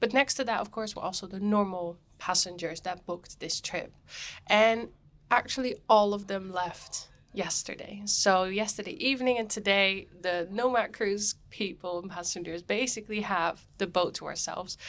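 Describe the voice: This woman has a medium pitch and a fairly bright tone. She keeps a moderate pace with ordinary pitch variation.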